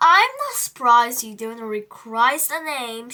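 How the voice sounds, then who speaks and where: A woman uses a put-on character voice at a high pitch and a moderate pace. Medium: read story. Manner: teacherly, patient.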